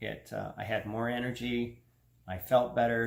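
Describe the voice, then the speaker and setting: There is audible room echo as a man talks with a Canadian accent. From Canada. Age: 50s. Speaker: health vlogger. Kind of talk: personal testimony vlog. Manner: casual, conversational.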